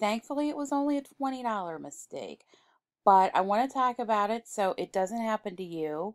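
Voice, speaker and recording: Fairly high for a woman, her voice swings very widely in pitch with a dry, close sound and no echo. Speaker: online reseller and video host. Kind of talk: casual vlog talk.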